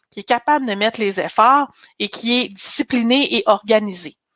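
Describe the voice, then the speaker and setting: Against a quiet background, a woman with an ordinary speaking voice talks at a fairly slow pace in a fairly high pitch with ordinary pitch variation, the sound dry and close with no echo. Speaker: career coach and recruiter. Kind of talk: webinar presentation. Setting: online webinar.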